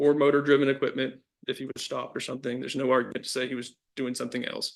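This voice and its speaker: A man's very fast, medium-pitched delivery, monotone and flat in intonation, with big swings in loudness. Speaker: lawyer arguing for appellant. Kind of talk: appellate oral argument. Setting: courtroom. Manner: halting, many restarts.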